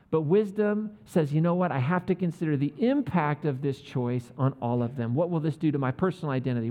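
A man speaks in an animated tone at a very fast pace. His pitch is fairly high. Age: 40s. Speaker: pastor. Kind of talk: sermon. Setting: church.

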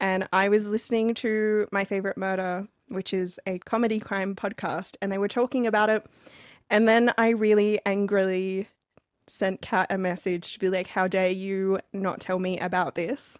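Medium-pitched woman's voice, monotone and flat, at a moderate pace, the sound dry and close with no echo over a quiet background. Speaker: podcast co-host. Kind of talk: casual chat.

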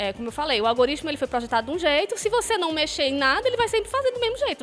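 A high-pitched woman speaking very fast with very wide pitch swings and hardly any pauses, music playing in the background. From Fortaleza, Ceará, Brazil. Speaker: university professor. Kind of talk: casual chat. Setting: stage with audience.

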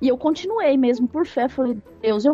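Music plays in the background as a woman talks at a fairly quick pace in a high voice with ordinary pitch variation. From Brazil, São Paulo city. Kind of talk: interview, personal testimony.

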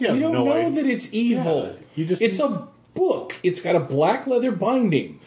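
A put-on character voice at a moderate pace. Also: man, high pitch for a man. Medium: actual play. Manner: flippant, teasing.

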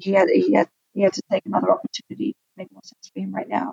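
Recorded dry and close with no echo, a woman with a medium pitch and vocal fry speaks at a very fast pace. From Australia. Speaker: watch brand co-founder. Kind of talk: interview.

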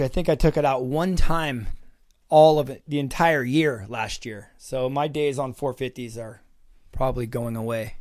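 A man with an unremarkable speaking voice and a fairly high pitch talks at a moderate pace. His loudness swings widely, while his pitch varies in an ordinary way. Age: 50s. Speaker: former pro motocross racer, test rider. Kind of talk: casual bike review chat.

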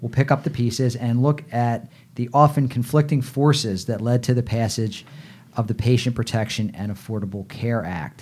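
A normal speaking voice from a man at a medium pitch, moderate in pace with ordinary pitch variation, on a very clean recording with a silent background. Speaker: podcast host. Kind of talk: interview.

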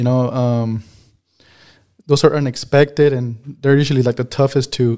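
A man's medium-pitched voice with an American accent, dark and mellow in tone, flat and monotone, at a moderate pace. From Mexico. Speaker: dairy farm worker. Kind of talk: interview. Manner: halting.

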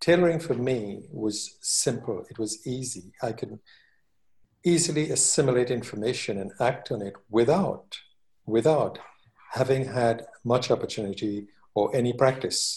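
Here a man speaks at a moderate pace and medium pitch. His voice is somewhat breathy, with ordinary pitch variation. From Trinidad. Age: 60s. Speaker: master tailor and tailoring teacher. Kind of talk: interview.

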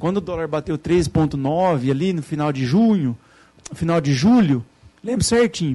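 This man speaks with lively intonation. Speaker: finance lecturer. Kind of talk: lecture.

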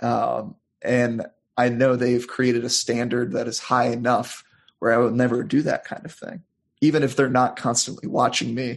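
Speaking with an American accent at a moderate pace, a man keeps to a medium pitch with little pitch movement and some vocal fry.

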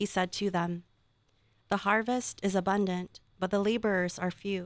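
In an ordinary speaking voice, a woman talks at medium pitch and a moderate pace with fairly even intonation, on a very clean recording with a silent background. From Philippines, then California from age 11. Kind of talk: reading aloud.

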